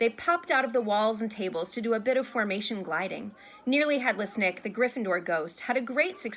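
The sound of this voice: Ordinary pitch variation across an unforced reading voice.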